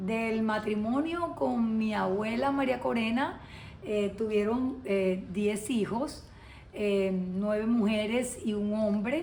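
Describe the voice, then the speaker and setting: Amid audible room echo, a woman with a fairly high pitch talks very slowly with ordinary pitch variation. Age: 60s. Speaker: lawyer, interviewee. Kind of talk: interview testimony. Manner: hesitant, many fillers.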